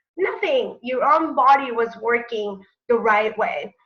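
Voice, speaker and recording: Her high-pitched voice rises and falls in a lively way as the woman speaks. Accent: Spanish. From Mexico City. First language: Spanish. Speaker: network marketing presenter. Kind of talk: sales webinar presentation. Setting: online webinar.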